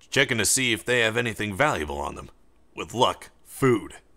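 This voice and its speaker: Put-on character voice from a man, medium pitch, moderate pace. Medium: read story.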